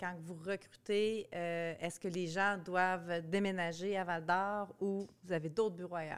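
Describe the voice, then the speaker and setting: A woman with a Quebec accent speaks at a medium pitch in a monotone, flat intonation. Her pace is fairly slow, with hardly any pauses. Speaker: podcast host, marketing agency head. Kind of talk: casual interview. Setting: conference.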